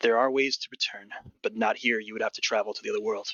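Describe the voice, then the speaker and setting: A man puts on a character voice at medium pitch, talking at a very fast pace. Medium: actual play. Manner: commanding, grave.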